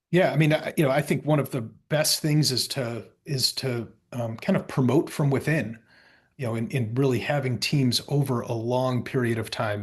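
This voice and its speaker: A man's somewhat breathy voice at medium pitch, with ordinary pitch variation, over a quiet background. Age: 40s. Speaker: company founder and CEO. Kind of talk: interview. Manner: halting.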